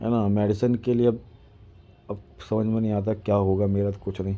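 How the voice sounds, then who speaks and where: A man speaks at a moderate pace in a dark, mellow tone. His intonation is flat and monotone. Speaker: vlogger. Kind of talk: casual vlog talk to camera. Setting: at home. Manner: halting, repetitive.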